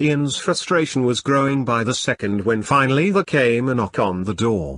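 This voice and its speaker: In a plain, everyday voice, a man speaks at a moderate pace and medium pitch with lively intonation over a quiet background. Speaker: author reading his own book. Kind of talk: audiobook reading of a comedic sci-fi novel. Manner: steady storyteller pace, shifting tone for characters' dialogue.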